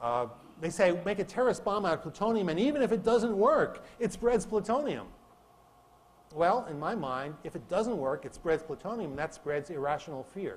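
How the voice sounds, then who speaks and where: A man with a high pitch talks at a moderate pace, his voice making very wide pitch swings. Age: 60s. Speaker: physics professor. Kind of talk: lecture. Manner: conversational, with repetitions and fillers.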